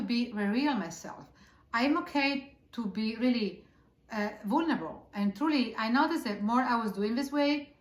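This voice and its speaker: This is a woman's voice at a fairly high pitch. Her intonation is lively. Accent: Italian. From Italy. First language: Italian. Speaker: author and spiritual teacher. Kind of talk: casual interview conversation. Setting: on a couch.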